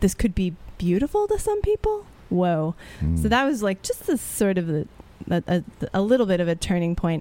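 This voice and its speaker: A woman with an American accent, very even loudness and long, frequent pauses, over music in the background. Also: moderate pace. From Texas (Houston). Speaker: actor and playwright. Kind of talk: interview, personal story. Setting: radio studio, live-streamed.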